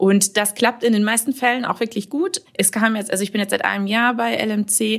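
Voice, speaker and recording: Fairly high-pitched, somewhat breathy woman's voice, fairly even intonation, a moderate pace, and hardly any pauses. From Münsterland, Germany (Warendorf). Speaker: marketing manager. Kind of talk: podcast interview.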